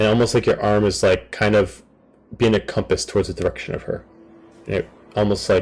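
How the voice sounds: Text delivered in a natural reading voice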